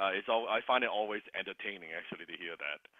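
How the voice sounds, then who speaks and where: A man talks with a Cantonese accent. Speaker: sales coaching program host. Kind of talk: online group coaching call.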